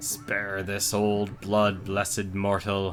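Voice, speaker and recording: Over clear background noise, a man in a put-on character voice speaks very slowly at a fairly low pitch. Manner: grunting.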